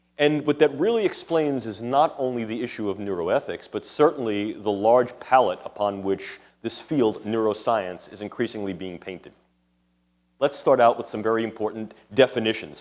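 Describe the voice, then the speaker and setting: Speaking at a medium pitch, a man has a strong New York accent. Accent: thick New York City. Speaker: neuroscientist and ethics lecturer. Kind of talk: lecture. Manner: formal.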